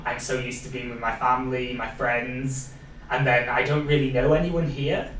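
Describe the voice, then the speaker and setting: A man speaks with a Welsh accent. There is audible room echo and noticeable background noise. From Wales. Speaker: podcast host, social media coordinator. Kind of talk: casual interview chat.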